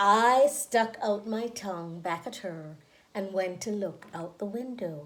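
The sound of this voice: A woman speaks slowly at medium pitch with lively intonation. Her voice carries audible room echo.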